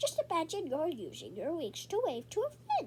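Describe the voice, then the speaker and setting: A squeaky, put-on character voice in a cheerful tone at a moderate pace, over clear background noise. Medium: read story. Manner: cheerful, encouraging.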